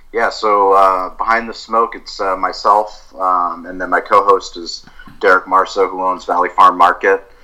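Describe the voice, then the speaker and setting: A man with an American accent talks at a fairly slow pace in a very deep, low pitch. His tone is bright and sharp, his intonation monotone and flat. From US West Coast, San Diego. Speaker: barbecue restaurant owner and podcaster. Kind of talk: interview conversation.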